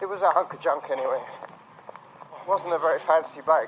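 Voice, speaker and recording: Talking at a fairly quick pace, a man is heard with noticeable background noise around him. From England. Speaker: podcaster. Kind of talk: casual chat while running. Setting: outdoors, park.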